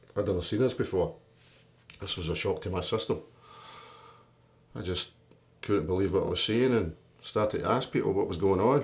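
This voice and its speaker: A man speaks at a fairly quick pace with long, frequent pauses. His fairly low voice is somewhat breathy and has ordinary pitch variation. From Scotland, Greenock (born in London). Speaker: union leader, boilermaker. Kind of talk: life story interview. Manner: animated storytelling.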